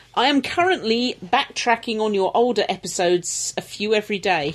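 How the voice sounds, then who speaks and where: Noticeable background noise accompanies a woman speaking at a moderate pace with lively intonation. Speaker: podcast host reading listener email.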